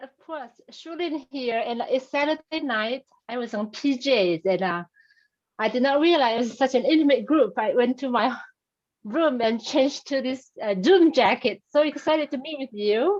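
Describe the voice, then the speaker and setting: This woman has a high pitch and a Chinese accent. Her intonation is lively. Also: moderate pace. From China. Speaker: audience member asking a question. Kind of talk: Q&A on video call. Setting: video call. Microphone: connection cutting out.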